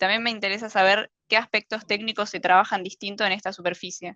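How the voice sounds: Speaking fast at a medium pitch, a woman has a bright, sharp tone and fairly even intonation, the sound dry and close with no echo.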